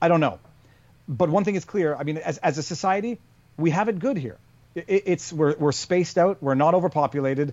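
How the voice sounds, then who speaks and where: A man with a Canadian accent has a plain, everyday voice at a fairly high pitch. He talks at a fairly quick pace with ordinary pitch variation. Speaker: lawyer and YouTuber. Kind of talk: casual interview conversation. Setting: remote call.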